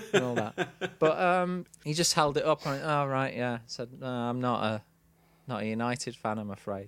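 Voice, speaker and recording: Lively intonation marks this moderate-paced delivery with a Manchester accent. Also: man. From Manchester, England. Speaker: podcast co-host. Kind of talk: casual chat.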